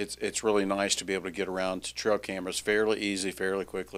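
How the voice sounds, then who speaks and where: In a Louisiana accent, a man speaks very fast in a very deep, low, flat monotone on a very clean recording with a silent background. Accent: Louisiana Southern US. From Louisiana (Alexandria). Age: 60s. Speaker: podcast host. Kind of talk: casual chat.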